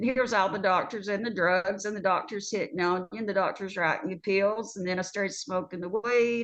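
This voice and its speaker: A woman's normal speaking voice at a medium pitch, fairly quick in pace with hardly any pauses and fairly even intonation. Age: 60s. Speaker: nurse. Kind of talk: testimony.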